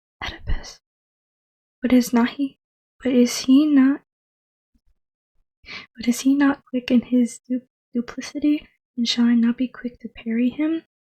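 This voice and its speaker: A soft-spoken woman with a high pitch uses a gentle, dark, mellow tone and monotone, flat intonation. She goes at a fairly slow pace with long, frequent pauses, and the sound is dry and close with no echo. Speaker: ASMR YouTuber. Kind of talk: dramatic reading of a Greek tragedy, voicing all roles herself. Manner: soft-spoken, gentle.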